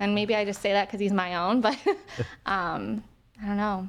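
A woman with an American accent, medium pitch and fairly even intonation. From Ohio, US. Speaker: cancer survivor. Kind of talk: interview. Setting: studio.

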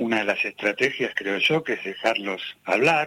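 Vocal fry runs through this man's bright, sharp tone. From Argentina, Buenos Aires (Ramos Mejía, La Matanza). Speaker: singer-songwriter. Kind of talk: radio interview.

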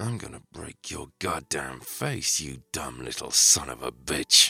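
A man's growling put-on character voice, very deep and low, fairly slow, with big swings in loudness. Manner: growling, menacing through gritted teeth.

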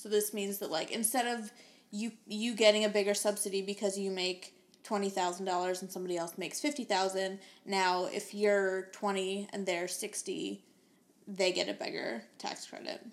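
This is a plain, everyday voice with an American accent. It moves at a fairly slow pace with ordinary pitch variation. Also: woman, medium pitch for a woman. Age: 20s. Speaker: podcast co-host. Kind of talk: casual chat.

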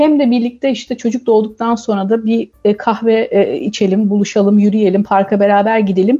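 A woman speaks at a moderate pace with hardly any pauses and very even loudness. Her voice is somewhat breathy, dark and mellow, fairly high in pitch, with fairly even intonation. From Turkey. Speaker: communications professional, expectant mother. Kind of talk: radio interview.

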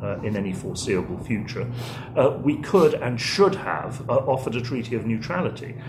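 Against noticeable background noise, a man speaks at a fairly quick pace. His medium-pitched voice has lively intonation. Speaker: historian and policy fellow. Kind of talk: interview.

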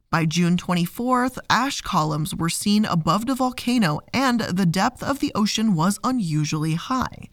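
In an ordinary speaking voice, a woman talks at a medium pitch and a fairly slow pace with hardly any pauses, lively intonation and very even loudness, in a very clean recording with a silent background. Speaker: podcast host. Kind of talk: scripted-style educational narration, read from sources. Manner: measured, clear, documentary-style storyteller; warm, friendly, conversational.

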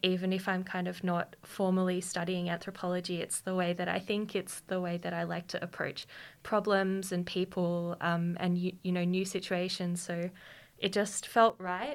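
A woman speaks with an Australian accent and monotone, flat intonation. It is a very clean recording with a silent background. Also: medium pitch for a woman, moderate pace. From Queanbeyan, New South Wales, Australia. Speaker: PhD student in anthropology. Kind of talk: panel discussion.

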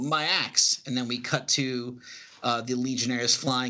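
Someone reads text aloud, using a natural voice.

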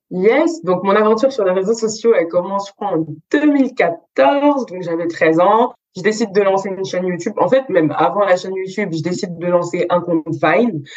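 Lively intonation marks this woman's unremarkable speaking voice. She talks at a moderate pace and a medium pitch. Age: 20s. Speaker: student entrepreneur and image consultant. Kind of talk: interview.

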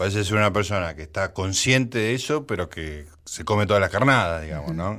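Spoken in a Rioplatense accent, the voice has a bright, sharp tone and ordinary pitch variation, recorded very cleanly against a silent background. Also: man. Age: 60s. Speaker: radio host. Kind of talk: radio talk show. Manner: halting.

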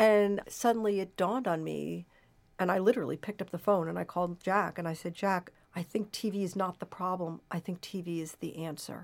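Her voice is an ordinary speaking voice at a medium pitch, with an American accent and fairly even intonation. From US Pacific Northwest (Portland, Oregon). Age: 60s. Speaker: professor. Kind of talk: interview.

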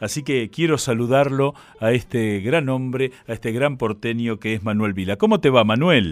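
In a Rioplatense accent, a man talks at a moderate pace and medium pitch with ordinary pitch variation. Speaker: radio host. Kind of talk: radio interview.

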